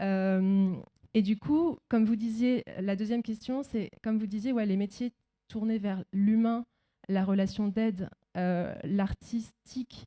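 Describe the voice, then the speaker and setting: Speaking at a fairly slow pace, a woman uses a medium-pitched voice with a dark, mellow tone and fairly even intonation, and the sound is dry and close with no echo. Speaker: audience member, voice-over artist. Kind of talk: audience question.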